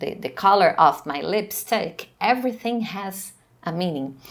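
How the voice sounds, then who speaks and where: A woman with a Portuguese accent and medium pitch, very wide pitch swings, at a fairly slow pace. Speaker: professor. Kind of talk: lecture. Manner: halting.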